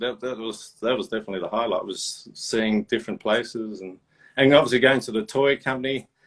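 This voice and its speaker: A man speaks at a fairly quick pace, his medium pitch showing ordinary variation. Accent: Australian. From Australia. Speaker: toy and sneaker collector. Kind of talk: casual interview chat. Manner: animated.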